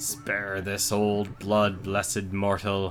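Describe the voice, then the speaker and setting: A man uses a put-on character voice, fairly low in pitch and very slow. Clear music plays in the background. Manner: grunting, pleading.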